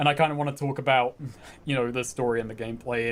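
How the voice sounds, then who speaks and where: With a British accent, a man of medium pitch speaks very fast. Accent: British, described as weird-ish. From England, North London. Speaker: game streamer. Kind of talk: casual chat. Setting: live stream.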